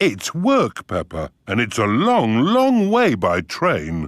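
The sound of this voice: A cartoonish character voice from a man, medium in pitch, at a very slow pace.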